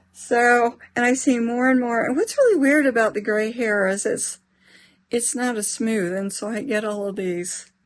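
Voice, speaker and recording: Over a quiet background, a woman speaks at a moderate pace in a fairly high pitch with ordinary pitch variation. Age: 60s. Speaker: lifestyle vlogger. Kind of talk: casual vlog talk to camera. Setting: at home, bedroom. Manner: halting.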